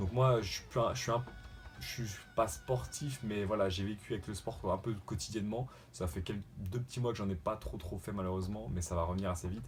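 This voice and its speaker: A man at a fairly quick pace with lively intonation, over music in the background. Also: fairly low pitch for a man. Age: 20s. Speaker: YouTuber doing a fitness challenge. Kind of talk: casual vlog introduction. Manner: hesitant, many fillers; relaxed.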